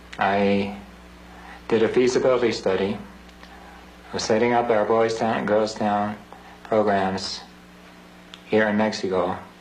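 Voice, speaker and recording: The speech comes at a fairly slow pace with long, frequent pauses and a flat, monotone delivery, and audible room echo surrounds it. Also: man, fairly low pitch for a man. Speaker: priest. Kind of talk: recorded appeal message.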